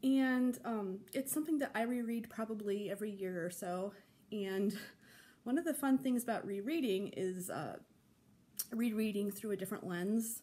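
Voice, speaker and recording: A woman talks at a moderate pace with ordinary pitch variation. Her tone is dark and mellow. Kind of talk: casual vlog chat. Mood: relaxed, friendly. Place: home room. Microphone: phone near.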